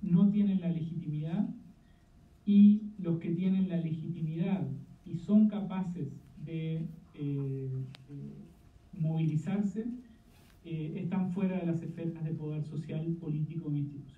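A man with a high voice speaks fairly slowly, leaving long, frequent pauses, while noticeable background noise carries on behind him. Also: fairly even intonation. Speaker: political science professor. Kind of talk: panel discussion. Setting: video call.

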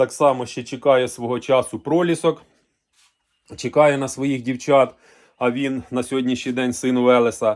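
A man speaks at a moderate pace with medium pitch and fairly even intonation, leaving long, frequent pauses. The recording is very clean, with a silent background. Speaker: farmer and livestock video blogger. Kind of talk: casual vlog monologue. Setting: on his farm. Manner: hesitant, filler-heavy.

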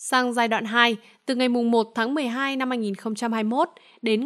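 A woman with a fairly high pitch speaks at a very slow pace in a fairly even intonation. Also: very clean recording, silent background. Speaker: news presenter. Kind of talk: news reading. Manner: formal.

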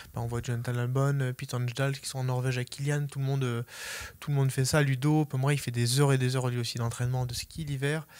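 The man's intonation is monotone and flat. He talks at a fairly quick pace. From Savoie, French Alps; French Alps. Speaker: ultra trail runner; interviewee. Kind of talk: interview. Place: shop. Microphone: handheld.

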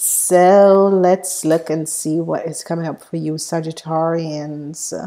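A woman talks at a very slow pace in a fairly low pitch, her tone dark and mellow. Her intonation stays flat and monotone over a quiet background. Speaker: tarot reader. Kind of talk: tarot reading, astrology forecast. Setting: solo video recording. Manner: filler-heavy, uses many ums. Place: home room. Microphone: earbuds.

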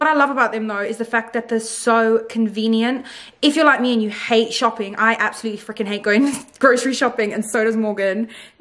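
Over a quiet background, a woman talks at a fairly quick pace with fairly even intonation. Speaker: vlogger. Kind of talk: casual vlog chat, sponsored segment. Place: home room. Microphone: phone near.

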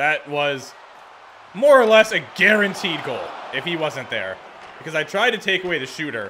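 Over crowd noise, a raised, projected voice with an animated tone and lively intonation moves at a moderate pace, broken by long, frequent pauses. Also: man. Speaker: gaming video creator. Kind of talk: video game commentary. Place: home room. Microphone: studio mic.

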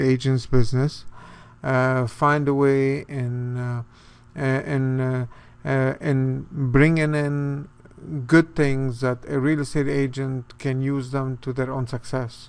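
A man speaks at a very slow pace in a monotone, flat intonation. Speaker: presenter. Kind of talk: promotional talk to camera. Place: office. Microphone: webcam.

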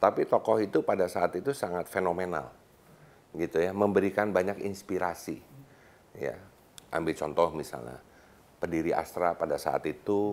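A man with a very deep, low pitch and vocal fry speaks at a moderate pace, with ordinary pitch variation. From Bandung, West Java. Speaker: business leader and chamber of commerce official. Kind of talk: casual interview chat. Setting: studio. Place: studio.

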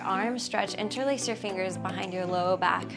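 A woman's voice over clear background music. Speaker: fitness instructor. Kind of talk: exercise instruction. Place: home room.

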